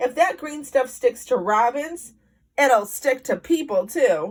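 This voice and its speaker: In a put-on character voice, a woman speaks high for a woman with very wide pitch swings at a fairly slow pace. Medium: read story. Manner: mumbling, old-fashioned exclamations.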